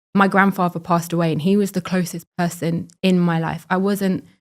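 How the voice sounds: A woman talks at a moderate pace in a fairly low pitch with little pitch movement and a slightly mellow tone. The recording is very clean, with a silent background.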